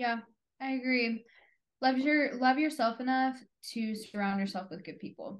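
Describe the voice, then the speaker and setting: A woman speaks at a high pitch and moderate pace, with ordinary pitch variation. Her loudness swings widely, and she makes long, frequent pauses. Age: 20s. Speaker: podcast co-host. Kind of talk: casual chat. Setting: video call.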